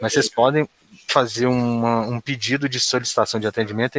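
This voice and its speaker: A man speaks at a fairly quick pace in an unremarkable speaking voice. His pitch is medium, and the sound is dry and close with no echo. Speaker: internal control adviser. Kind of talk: work meeting.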